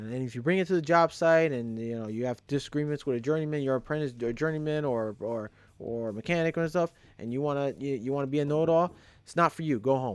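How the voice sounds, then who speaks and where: A man with a New York accent, fairly high-pitched, talking at a very fast pace with ordinary pitch variation over a quiet background. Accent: New York street. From New York City (Brooklyn, Queens). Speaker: electrician, trade YouTuber. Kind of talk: live stream advice talk. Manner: repetitive, halting, emphatic.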